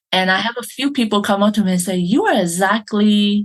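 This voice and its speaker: Her pitch medium and its variation ordinary, a woman speaks. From Malaysia. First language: not English. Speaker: brand photographer. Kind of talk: interview. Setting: podcast interview.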